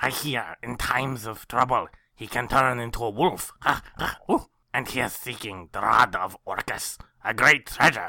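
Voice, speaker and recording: At a moderate pace, a man uses a put-on character voice pitched in the medium range. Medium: actual play. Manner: theatrical, declaiming.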